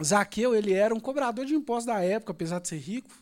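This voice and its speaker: Speaking at a very fast pace in a Brazilian accent, a man uses a high pitch, an animated tone, and very wide pitch swings. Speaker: preacher. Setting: church. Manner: fervent, with repeated fillers and emphatic repetition.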